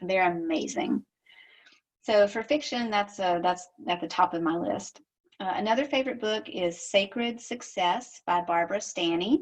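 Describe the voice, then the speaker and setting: In a Southern US accent, a woman speaks at a medium pitch and moderate pace with lively intonation. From US South. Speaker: social media marketing strategist. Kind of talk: recorded recommendation. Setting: home office.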